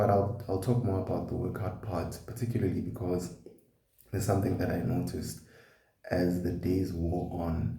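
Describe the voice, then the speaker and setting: A man's very deep, low voice, dark and mellow with vocal fry, at a moderate pace with ordinary pitch variation and audible room echo. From South Africa, KwaZulu-Natal. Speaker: vlogger. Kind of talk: personal vlog.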